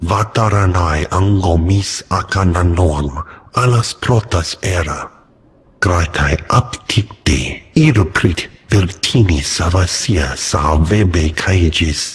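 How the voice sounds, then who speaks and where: A man puts on a character voice, talking very slowly at a very deep, low pitch. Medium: video game.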